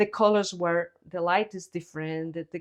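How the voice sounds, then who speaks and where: A woman with a Spanish accent and ordinary pitch variation against a quiet background. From Guatemala. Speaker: visual artist. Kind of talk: interview. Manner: halting.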